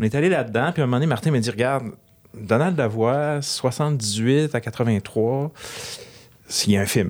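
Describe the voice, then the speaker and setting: Speaking at a moderate pace with ordinary pitch variation, this man has an unremarkable speaking voice. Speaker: film director. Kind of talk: interview.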